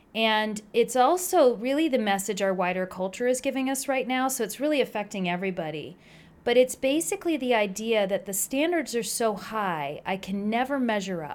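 Speaking at a moderate pace with hardly any pauses, a woman uses a plain, everyday voice, fairly high in pitch with lively intonation. The recording is very clean, with a silent background. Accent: American. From New Jersey. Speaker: pediatrician. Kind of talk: interview.

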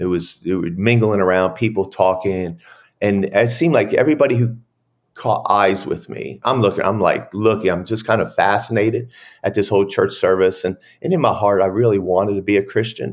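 A man with an American accent, fairly low in pitch and fairly quick, with ordinary pitch variation, on a very clean recording with a silent background. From US Northeast (New Jersey, Pennsylvania). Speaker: former prisoner sharing faith story. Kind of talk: testimony. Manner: halting, many fillers.

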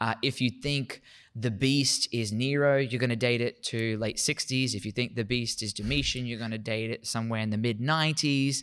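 In a very clean recording with a silent background, a man with an Australian accent speaks at a moderate pace with fairly even intonation and hardly any pauses. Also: medium pitch for a man. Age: 30s. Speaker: Bible lecturer. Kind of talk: interview on theology. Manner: repetitive, halting at times.

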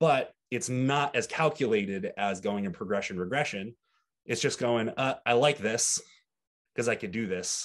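An unremarkable speaking voice at a moderate pace, ordinary pitch variation, quiet background. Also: man, medium pitch for a man. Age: 20s. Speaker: bodybuilding coach. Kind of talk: casual chat.

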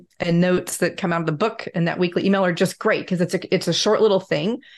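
Against a quiet background, a woman speaks in an unremarkable speaking voice, fairly low in pitch, with fairly even intonation. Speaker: security industry advisor, co-host. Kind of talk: interview.

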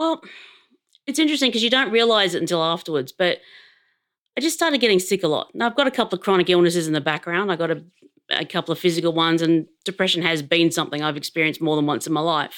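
Speaking very fast with lively intonation, a woman with a fairly low voice and an Australian accent comes through on a very clean recording with a silent background. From Adelaide, Australia. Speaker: public servant. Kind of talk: casual interview about mental health.

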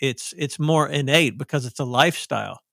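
Speaking in a Southern US accent, a man with a fairly high pitch keeps a moderate pace and fairly even intonation, in a very clean recording with a silent background and a dry, close sound with no echo. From US South. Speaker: author. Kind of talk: podcast interview.

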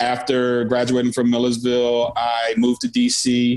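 Someone with an American accent speaks at a moderate pace against noticeable background noise. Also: man. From Philadelphia. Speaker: music manager and festival producer. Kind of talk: interview.

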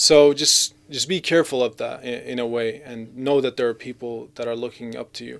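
A man delivers an ordinary speaking voice at medium pitch and a moderate pace. His intonation is fairly even, though his loudness swings widely. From Gaza, Palestine and Canada. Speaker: Islamic speaker and YouTube video maker. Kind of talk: casual interview chat.

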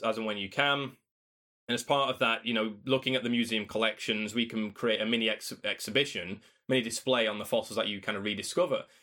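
Very fast and medium in pitch, a man talks in a Yorkshire accent with ordinary pitch variation. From South Yorkshire, England (Doncaster). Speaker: paleontologist and author. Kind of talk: interview. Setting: remote call.

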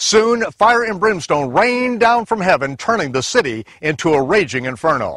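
A man's high-pitched voice with very wide pitch swings at a moderate pace, dry and close with no echo. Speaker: Bible teacher. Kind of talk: scripted narration.

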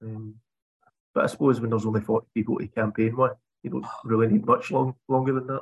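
A very fast, monotone man with a Scottish accent, medium pitch and a somewhat breathy voice, in a dry, close sound with no echo. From Scotland. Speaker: podcast host. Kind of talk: casual political chat.

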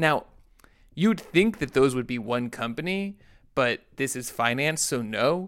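Against a silent background in a very clean recording, a man with an ordinary speaking voice talks at a fairly slow pace, using lively intonation and a fairly high pitch. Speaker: podcast co-host.

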